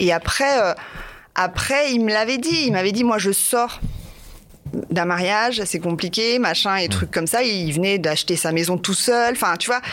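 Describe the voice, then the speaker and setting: A woman with a normal speaking voice talks at a medium pitch and a fairly slow pace. Her intonation is lively and her loudness very even. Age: 40s. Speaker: dating podcast guest. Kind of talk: recorded personal statement; casual chat.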